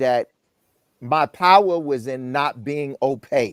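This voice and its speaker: Recorded with a dry, close sound and no echo, a man speaks in an ordinary speaking voice at a fairly high pitch. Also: very clean recording, silent background. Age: 60s. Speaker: guest on dating talk show. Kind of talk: panel discussion.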